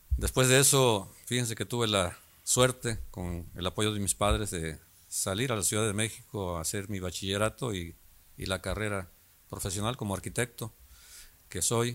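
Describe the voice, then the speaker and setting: Recorded very cleanly over a silent background, a man has an ordinary speaking voice, fairly low in pitch, with ordinary pitch variation at a moderate pace. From Mexico, Guerrero coast (Coacoyul, Zihuatanejo). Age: 60s. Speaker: local politician. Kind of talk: interview.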